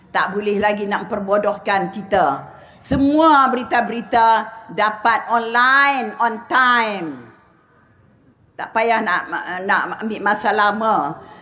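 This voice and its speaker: Amid audible room echo, a woman talks at a very slow pace with long, frequent pauses. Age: 70s. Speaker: politician. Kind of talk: political rally speech.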